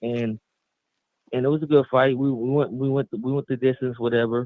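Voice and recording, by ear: In a dry, close sound with no echo, a man of medium pitch talks at a fairly quick pace with fairly even intonation.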